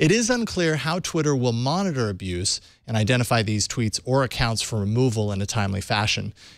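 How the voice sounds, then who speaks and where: A man talks at a fairly quick pace. The sound is dry with no echo, and the background is quiet. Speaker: news show host. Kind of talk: news reading. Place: studio. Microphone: studio mic.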